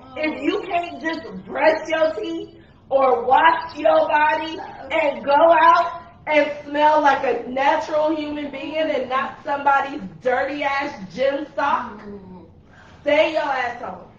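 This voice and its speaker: A woman's high-pitched voice at a very slow pace, with audible room echo. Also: ordinary pitch variation, big swings in loudness. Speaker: podcast host. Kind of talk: casual chat. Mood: joking rant. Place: home room.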